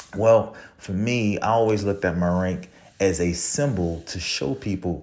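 A man speaks in a New Orleans accent. His tone is animated. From New Orleans, Louisiana. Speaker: podcast host, Marine Corps veteran. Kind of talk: motivational monologue. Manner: animated, motivational.

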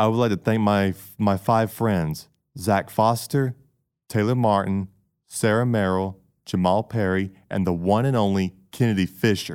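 A man speaks with fairly even intonation and very even loudness. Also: fairly low pitch for a man. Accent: Southern US. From US South, Georgia. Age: 20s. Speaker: college student. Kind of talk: interview.

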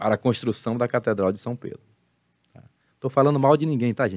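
Here a man talks at a very fast pace and medium pitch, with ordinary pitch variation. Long, frequent pauses break it up, and the sound is dry and close with no echo. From Brazil, Salvador, Bahia. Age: 50s. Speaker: pastor and theology teacher. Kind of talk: casual interview on a live stream.

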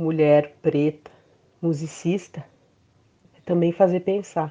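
A woman with a fairly low pitch speaks at a very slow pace, her intonation fairly even. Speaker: violist and composer. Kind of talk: interview testimony.

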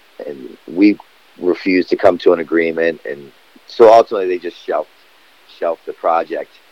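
Talking at a fairly quick pace, a man leaves long, frequent pauses and makes big swings in loudness. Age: 40s. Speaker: skateboarder and recovery advocate. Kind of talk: casual interview.

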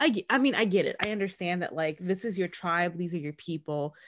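Heard on a very clean recording with a silent background, a woman uses a normal speaking voice with a fairly low pitch and ordinary pitch variation. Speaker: podcast host. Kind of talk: casual chat, podcast recap.

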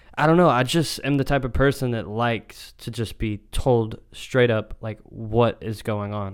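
An ordinary speaking voice with an American accent moves at a fairly slow pace, with ordinary pitch variation, on a very clean recording with a silent background. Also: man. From Texas. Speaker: podcast co-host. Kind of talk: casual chat.

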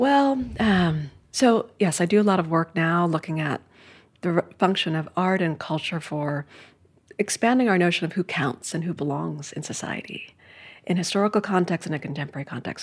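A woman speaks in a plain, everyday voice with an American accent. Her pitch is fairly low, her intonation lively, and her pace fairly quick. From US Northeast, New York City (Manhattan). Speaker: art history professor and author. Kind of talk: casual interview conversation. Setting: in person in New York.

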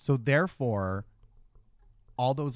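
Recorded very cleanly against a silent background, the man has a Canadian accent, a medium pitch and lively intonation. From Thunder Bay, northern Ontario, Canada. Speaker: cosplayer and performer. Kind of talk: casual chat. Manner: animated.

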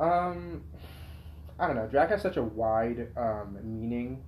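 With an American accent, a man at a medium pitch talks at a fairly slow pace, taking long, frequent pauses and making very wide pitch swings, with audible room echo. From Poway, San Diego County, California. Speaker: drag performer, college student. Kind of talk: casual chat. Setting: at his home.

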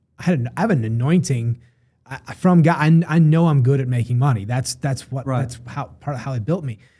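A somewhat breathy man at medium pitch and a fairly quick pace. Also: ordinary pitch variation. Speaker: podcast host. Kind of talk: casual interview chat. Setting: studio.

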